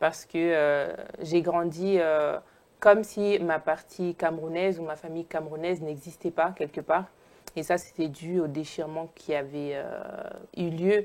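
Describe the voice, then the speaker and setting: At a fairly slow pace and fairly low pitch, a woman speaks in a flat monotone, her volume swinging widely. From Italy, Naples. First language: Italian (speaking French). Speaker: sociologist and filmmaker. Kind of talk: interview. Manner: hesitant, many fillers.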